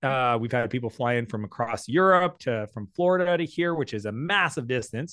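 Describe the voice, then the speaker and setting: Bright and sharp in tone, a man's voice moves at a moderate pace. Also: medium pitch for a man, quiet background. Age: 40s. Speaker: entrepreneur. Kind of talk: interview.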